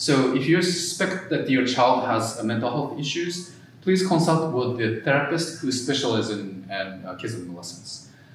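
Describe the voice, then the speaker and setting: A man with a Japanese accent, very wide pitch swings and big swings in loudness, with audible room echo and noticeable background noise. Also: medium pitch for a man, moderate pace, hardly any pauses. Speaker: mental health therapist. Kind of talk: workshop presentation. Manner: halting, many fillers.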